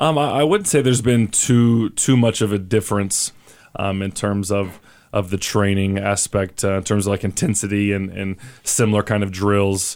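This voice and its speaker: A man with an American accent and a fairly low pitch speaks at a moderate pace in a plain, everyday voice, on a very clean recording with a silent background. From Oklahoma. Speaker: professional soccer player. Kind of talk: interview. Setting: radio studio.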